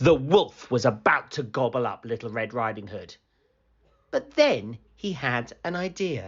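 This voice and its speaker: Using a plain, everyday voice, a man speaks at a medium pitch and a fairly slow pace. His intonation is lively. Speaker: storybook narrator. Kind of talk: children's picture book read aloud. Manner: storytelling, gentle, clear.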